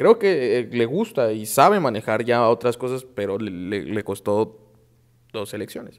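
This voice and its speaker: Fairly slowly and with ordinary pitch variation, a man talks against a quiet background. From Mexico. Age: young. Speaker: political panelist; panelist. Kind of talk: heated debate; political panel debate. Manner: halting. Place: studio. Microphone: lapel.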